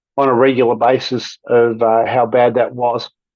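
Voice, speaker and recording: A man is speaking. He has an Australian accent. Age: 60s. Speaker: podcast guest sharing weight loss story. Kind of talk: personal testimony in interview.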